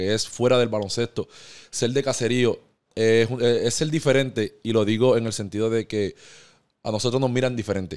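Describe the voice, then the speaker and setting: A man speaks fairly quickly and with fairly even intonation, the background quiet. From Puerto Rico, Caguas area; Puerto Rico. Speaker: professional basketball player; podcast guest. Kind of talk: interview. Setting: barbershop studio. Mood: calm, reflective. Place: studio. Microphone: studio mic.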